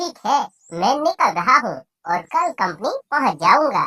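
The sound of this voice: A female-sounding, cartoonish character voice speaks at a fairly slow pace. Its pitch is high, with very wide pitch swings.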